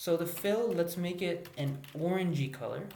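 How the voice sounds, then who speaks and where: The pace is moderate. There is noticeable background noise. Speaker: coding teacher. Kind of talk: tutorial. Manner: hesitant with many fillers.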